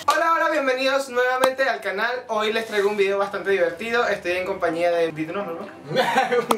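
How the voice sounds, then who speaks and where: With noticeable background noise behind him, a man talks at a fairly quick pace with hardly any pauses. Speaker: channel host. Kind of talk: casual talk to camera. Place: studio.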